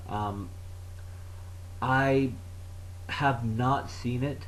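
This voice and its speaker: A somewhat breathy man speaks with ordinary pitch variation, and audible room echo can be heard. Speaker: vlogger. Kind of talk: educational talk. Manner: halting, long pauses; low energy.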